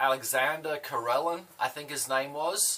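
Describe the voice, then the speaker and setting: A man with an Australian accent speaks very slowly in a fairly high voice, his pitch rising and falling in an ordinary way. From Australia (Adelaide). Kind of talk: casual chat.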